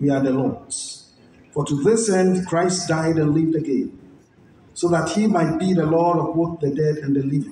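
Delivered at a moderate pace with ordinary pitch variation, the speech holds a very even loudness. Audible room echo and light background noise surround it. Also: man, high pitch for a man. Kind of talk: liturgical scripture reading. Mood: solemn, measured. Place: stage.

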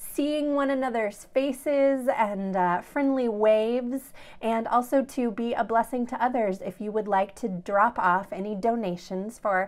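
This is a woman with fairly slow delivery. Her pitch shifts only in ordinary ways. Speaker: pastor. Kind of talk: worship welcome and announcements. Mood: warm, friendly. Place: home room. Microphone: phone near.

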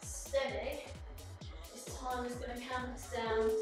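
Over clear background music and a strong room echo, a woman speaks at a fairly slow pace. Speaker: fitness instructor. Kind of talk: workout class instruction. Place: home room. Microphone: camera far.

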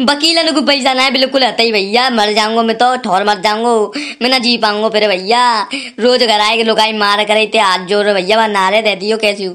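A woman puts on a whiny character voice, fairly high-pitched, at a fairly quick pace with hardly any pauses. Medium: cartoon. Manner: pleading, whiny, rambling.

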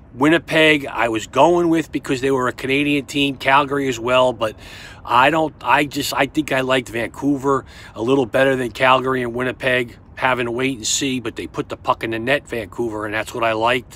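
With a New York accent, a man talks in a bright, sharp tone and fairly even intonation, the sound dry with no echo. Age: 50s. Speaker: sports betting tipster. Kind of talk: casual monologue to camera. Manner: halting, repetitive stammering. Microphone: phone near.

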